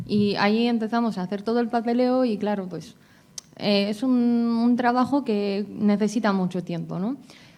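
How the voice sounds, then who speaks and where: Dark and mellow in tone, a woman's fairly high voice moves with fairly even intonation. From abroad, outside Spain. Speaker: patient advocate. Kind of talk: conference talk, patient testimony. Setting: congress panel with audience. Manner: hesitant, many fillers.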